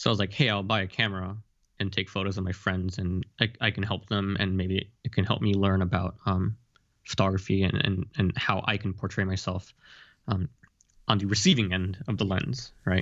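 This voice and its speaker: A man speaks at a moderate pace with fairly even intonation. His pitch is fairly low, and it's a normal speaking voice. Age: 20s. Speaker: photographer and fashion model. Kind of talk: interview.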